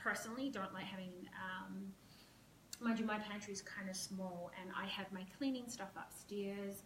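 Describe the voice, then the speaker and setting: Through noticeable background noise and audible room echo, a woman speaks at a fairly slow pace with fairly even intonation. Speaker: professional organizer. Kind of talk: live-stream home tour tutorial. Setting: at home, walking with camera. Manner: hesitant, many fillers.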